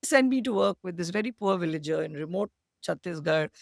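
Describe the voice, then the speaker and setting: A woman's fairly low-pitched voice with vocal fry at a very fast pace, in a dry, close sound with no echo. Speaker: social entrepreneur. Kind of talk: interview conversation.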